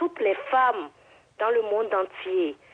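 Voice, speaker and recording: A woman speaking at a very slow pace, with very wide pitch swings. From Togo. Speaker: caller. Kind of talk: testimony. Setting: phone call. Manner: halting.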